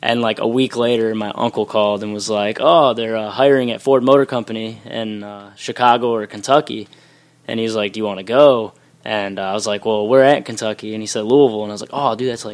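A man with an unremarkable speaking voice talks at a medium pitch and a fairly quick pace. His intonation is fairly even, but his loudness swings widely. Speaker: pro wrestler. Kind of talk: wrestling promo. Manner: boastful.

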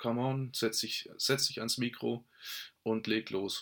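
A man's medium-pitched voice is heard on a very clean recording against a silent background. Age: 30s. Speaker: podcast host, network marketer. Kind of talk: solo podcast monologue. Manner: halting, many fillers and restarts.

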